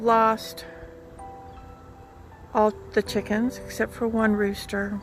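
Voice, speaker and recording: Over music in the background, a soft-spoken woman with an American accent talks very slowly at a fairly high pitch, leaving long, frequent pauses. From Southern California. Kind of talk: casual vlog talk to camera. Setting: outdoors. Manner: dramatic.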